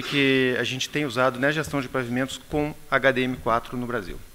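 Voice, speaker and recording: Bright and sharp in tone, a man speaks at a medium pitch with fairly even intonation. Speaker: pavement engineer. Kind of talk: conference presentation. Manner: hesitant, many fillers.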